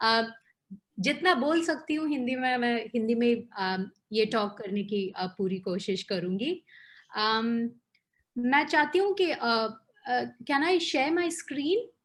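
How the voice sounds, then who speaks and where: Her pitch sits high and swings very widely as this woman talks. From Kerala, India. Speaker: NGO communications facilitator. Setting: video call. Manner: hesitant.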